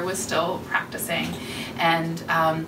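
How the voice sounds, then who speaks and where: A woman is speaking. Noticeable background noise runs underneath her. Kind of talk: presentation talk to small audience. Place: office. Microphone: camera far.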